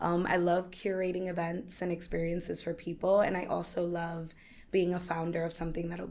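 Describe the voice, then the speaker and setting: Fairly quick, monotone speech from a woman with a fairly low pitch, flat intonation and audible room echo. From New York, the Bronx. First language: Spanish. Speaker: entrepreneur. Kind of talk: podcast interview.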